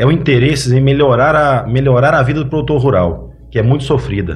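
Speaking at a moderate pace, a man uses a medium pitch with vocal fry. Audible room echo is present. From Paracatu, Minas Gerais, Brazil; childhood in São Paulo. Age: 20s. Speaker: farmer, farmers' union candidate. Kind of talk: podcast interview.

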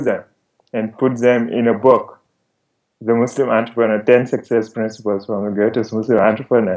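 A man's medium-pitched voice with monotone, flat intonation. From Senegal. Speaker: author. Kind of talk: interview.

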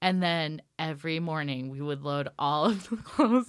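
A woman talks at a fairly slow pace in a Pacific Northwest accent, her intonation lively. The recording is very clean and the background silent. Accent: American, Pacific Northwest. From Washington State, Ellensburg. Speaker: costume designer. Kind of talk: casual interview.

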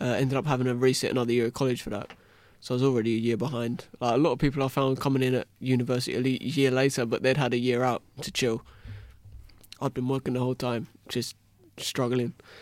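Talking at a very fast pace, a man holds a medium pitch in a monotone, flat delivery. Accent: English. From England. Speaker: university graduate. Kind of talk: casual discussion.

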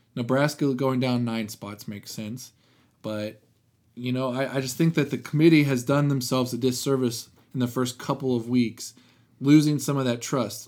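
With a moderate pace and medium pitch, a man with an unremarkable speaking voice comes through on a very clean recording with a silent background. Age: 20s. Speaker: sports podcast co-host. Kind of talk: casual chat.

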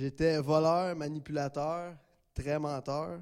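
A man with a Quebec accent talks at a fairly high pitch with fairly even intonation. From Gatineau, Quebec. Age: 20s. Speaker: testimony giver, program graduate. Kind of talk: testimony.

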